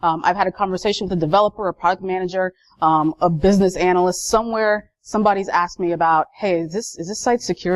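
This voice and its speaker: A woman with a Boston accent talks at a very fast pace in a fairly low pitch and fairly even intonation. The sound is dry and close with no echo, over a quiet background. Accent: Boston accent, dropped R's. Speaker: information security analyst, conference speaker. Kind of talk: conference talk. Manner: conversational, many fillers.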